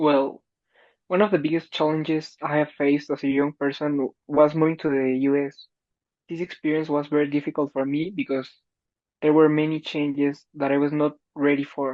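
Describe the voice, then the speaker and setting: This man speaks at a moderate pace with a Spanish accent and a fairly high pitch. His intonation stays monotone and flat. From Mexico. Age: young. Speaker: college student. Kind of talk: interview.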